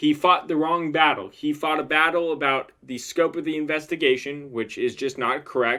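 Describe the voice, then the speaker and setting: Mumbling in a bright, sharp tone, a man is heard in a very clean recording with a silent background. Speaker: lawyer commenting on videos. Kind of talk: legal analysis monologue. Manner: explanatory, repetitive emphasis.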